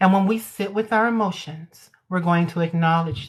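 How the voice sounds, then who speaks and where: A woman speaks with a fairly low, somewhat breathy voice. Her pitch varies in an ordinary way. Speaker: hypnotherapist. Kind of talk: casual chat; guided meditation. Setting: social media livestream. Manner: voice lowers for meditation.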